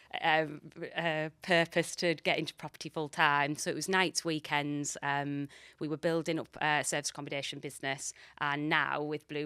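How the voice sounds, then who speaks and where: Recorded very clean and silent, dry and close with no echo, a woman speaks at a moderate pace with a very deep, low pitch and a bright, sharp tone. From northeast England, Middlesbrough. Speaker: magazine editor and property investor. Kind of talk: casual interview chat.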